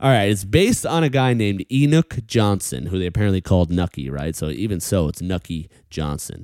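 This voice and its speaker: Speaking at a fairly quick pace with an American accent, a man with a fairly low pitch sounds animated. The recording is very clean, with a silent background. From New York. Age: 30s. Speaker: comedian and podcast host. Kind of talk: casual chat.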